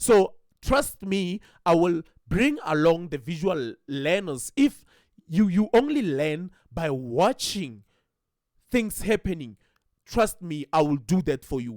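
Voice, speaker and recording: Speaking in a high voice with a non-native accent, a man talks at a very slow pace with long, frequent pauses. His pitch swings very widely, and the sound is dry and close with no echo. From South Africa. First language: not English. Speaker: trading educator. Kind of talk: tutorial. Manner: halting.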